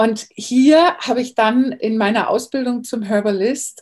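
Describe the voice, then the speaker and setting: With a fairly high pitch and ordinary pitch variation, a woman speaks in a somewhat breathy voice. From Bavaria, Germany. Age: 40s. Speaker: herbalist. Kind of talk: interview.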